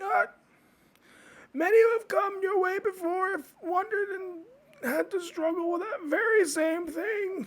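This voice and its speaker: A man puts on a character voice. It sits extremely high in pitch. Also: moderate pace. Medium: actual play. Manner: terse, self-assured.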